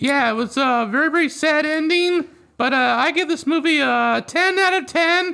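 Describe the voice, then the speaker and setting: A man uses a raised, projected voice with an extremely high pitch and a bright, sharp tone. His loudness stays very even at a moderate pace on a very clean recording with a silent background. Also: ordinary pitch variation. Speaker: podcast co-host. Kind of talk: casual chat. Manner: energetic, animated.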